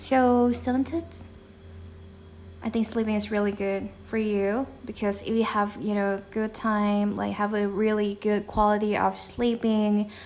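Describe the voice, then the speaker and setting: A woman speaks with a Thai accent. Her intonation stays monotone and flat. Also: medium pitch for a woman. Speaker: podcast host. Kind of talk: casual talk to camera. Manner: casual, chatty.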